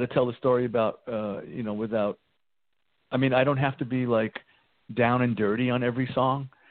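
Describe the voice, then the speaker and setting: A man talks in a New York accent. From New York, the Bronx. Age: 60s. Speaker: rock guitarist. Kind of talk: interview. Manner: halting.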